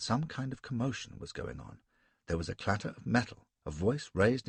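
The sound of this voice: Lively intonation in an unforced reading voice, quiet background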